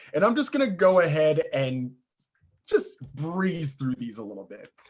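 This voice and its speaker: This man speaks at a moderate pace. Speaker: life coach and guest speaker. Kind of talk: presentation to a club meeting. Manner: loud.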